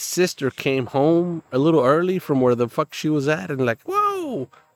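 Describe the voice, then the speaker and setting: A man with an American accent speaks at a fairly slow pace, his pitch swinging very widely. Music plays in the background. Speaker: podcast co-host. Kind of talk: casual chat.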